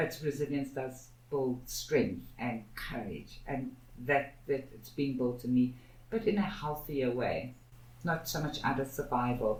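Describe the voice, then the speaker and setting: Audible room echo surrounds a woman's very deep, low voice, which is somewhat breathy. She speaks at a fairly slow pace with ordinary pitch variation. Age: 60s. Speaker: activist, co-founder of a social justice institute. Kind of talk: podcast interview.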